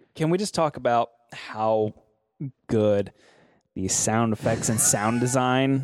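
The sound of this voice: The delivery is an unforced reading voice with ordinary pitch variation, over a quiet background.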